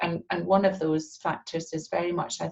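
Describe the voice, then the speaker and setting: In a Scottish accent, a woman with a fairly low, somewhat breathy voice speaks at a moderate pace in a flat monotone. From Scotland. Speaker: real estate agency partner. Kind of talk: interview.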